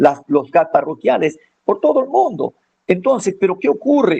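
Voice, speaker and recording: A man's intonation is lively, and his pace stays moderate. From Ecuador, Manabí coast. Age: 60s. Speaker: farmer and former forestry promoter. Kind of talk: radio interview. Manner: halting, many fillers.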